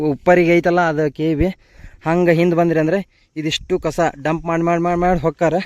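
With a dry, close sound and no echo, a man speaks at a high pitch in a monotone, flat intonation. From Dharwad, North Karnataka, India. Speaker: village vlogger and kabaddi player. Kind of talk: casual vlog walkthrough.

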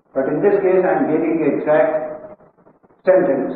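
Amid light background noise and strong room echo, a man talks at a very slow pace in a high pitch. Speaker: monk teacher. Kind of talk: lecture. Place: hall.

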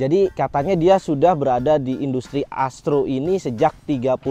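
A man at a moderate pace, ordinary pitch variation, dry sound with no echo, and faint music in the background. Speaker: cactus channel host. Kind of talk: casual vlog chat. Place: street. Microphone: lapel.

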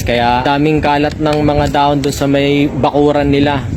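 A fairly high-pitched man at a moderate pace in a monotone, flat intonation, with noticeable background noise. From Philippines. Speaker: overseas worker vlogger. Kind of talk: vlog monologue.

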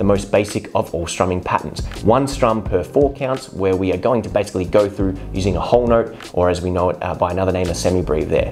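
At a very fast pace, a man talks. Faint music plays in the background. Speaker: guitar teacher. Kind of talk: tutorial. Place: home room. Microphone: lapel.

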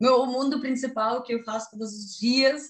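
The woman has a strong Russian accent. The background is quiet, though audible room echo is present. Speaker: YouTuber. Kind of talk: interview answer. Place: home room. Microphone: video call.

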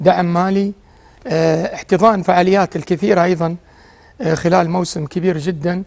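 At a fairly slow pace, a man speaks in a high voice. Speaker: former footballer turned pundit. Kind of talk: TV sports panel discussion. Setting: TV studio. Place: studio.

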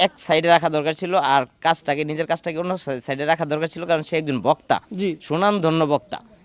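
A man with an unremarkable speaking voice speaks at a fairly high pitch with fairly even intonation, in a dry, close sound with no echo. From rural Bangladesh, the preacher's home area. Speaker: local resident, interviewee. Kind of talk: on-location interview.

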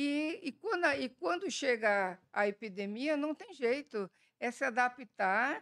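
In a quiet background, a woman speaks very slowly at a high pitch with very wide pitch swings. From Brazil, Bahia. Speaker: virologist; panelist. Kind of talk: panel talk. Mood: warm, reminiscent. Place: hall. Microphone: podium.

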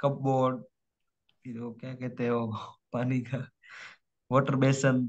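The delivery is monotone and flat, though the loudness swings widely. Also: man, medium pitch for a man. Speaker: student preparing for English exam. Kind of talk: online tutoring session.

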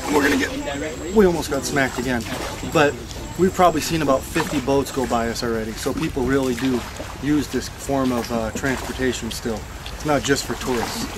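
A man goes at a fairly quick pace against noticeable background noise. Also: ordinary pitch variation. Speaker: tourist vlogger. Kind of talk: casual vlog chat. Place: boat. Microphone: phone near.

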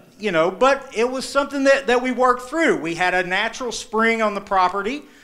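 Raised, projected voice with an Appalachian accent, bright and sharp in tone, lively in intonation, over a quiet background. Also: man. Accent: Appalachian American. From eastern Kentucky and southern Ohio. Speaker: journalist. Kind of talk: live storytelling performance. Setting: live stage, audience. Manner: casual, conversational. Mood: warm, humorous, reflective. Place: stage. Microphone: handheld.

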